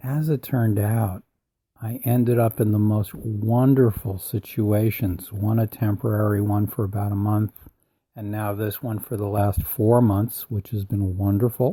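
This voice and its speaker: His voice is somewhat breathy. The man's tone is dark and mellow. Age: 70s. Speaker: personal growth podcaster. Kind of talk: motivational podcast talk.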